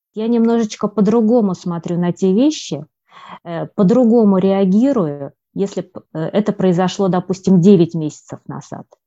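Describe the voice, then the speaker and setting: A dark, mellow tone carries lively intonation at a fairly slow pace, recorded dry and close with no echo over a quiet background. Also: woman. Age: 40s. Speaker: medical worker and hypnosis student. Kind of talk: testimonial interview. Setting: remote call.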